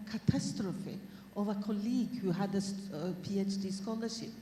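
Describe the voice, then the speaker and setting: This woman's medium-pitched voice carries audible room echo. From Norway. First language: Norwegian. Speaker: academic speaker. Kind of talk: panel talk. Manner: halting.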